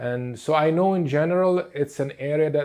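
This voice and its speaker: A man with a Portuguese accent speaks with ordinary pitch variation. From Lebanon. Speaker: therapist. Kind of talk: lecture. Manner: halting, many fillers.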